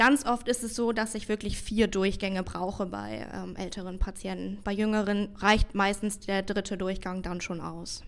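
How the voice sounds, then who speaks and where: A woman with monotone, flat intonation speaks at a medium pitch and a moderate pace. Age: 20s. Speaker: dental assistant and bleaching specialist. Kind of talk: interview answers.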